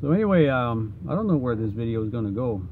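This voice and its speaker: A man with a Quebec accent, medium pitch and lively intonation, with audible echo in the room. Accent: French-Canadian accent in English. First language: French. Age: 50s. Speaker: vlogger. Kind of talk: unscripted rant. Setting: in a van. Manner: halting, with many fillers and restarts.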